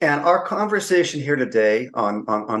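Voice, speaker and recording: A man speaks with a normal speaking voice in an American accent. His pace is moderate and his intonation lively. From California. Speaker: podcast host. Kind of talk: interview. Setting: podcast recording.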